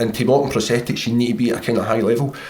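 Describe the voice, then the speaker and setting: Fairly even intonation from a man at medium pitch, with noticeable background noise. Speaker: army veteran, amputee. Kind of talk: conversational interview.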